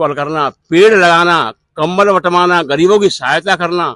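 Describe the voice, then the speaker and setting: Bright and sharp in tone, a man talks at a fairly high pitch with ordinary pitch variation. The sound is dry and close with no echo, over a quiet background. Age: 70s. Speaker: villager. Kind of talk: street interview.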